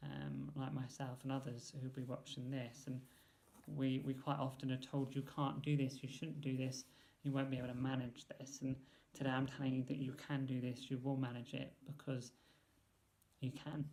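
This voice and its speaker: A man talks at a moderate pace in a medium pitch, his tone dark, mellow and somewhat breathy. His intonation stays flat and monotone. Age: 30s. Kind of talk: vlog monologue. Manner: halting, many fillers.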